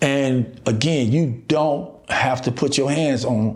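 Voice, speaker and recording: A man with an American accent, medium pitch and fairly even intonation, amid noticeable background noise and audible room echo. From Chicago, US. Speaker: relationship and recovery coach. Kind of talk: motivational podcast monologue.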